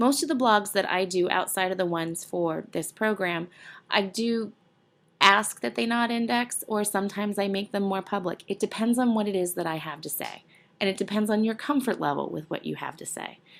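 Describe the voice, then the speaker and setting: A woman talks at a fairly quick pace in a plain, everyday voice, her pitch medium with ordinary variation. The recording is very clean, with a silent background. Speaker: university instructor. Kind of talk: tutorial. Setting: screencast recording.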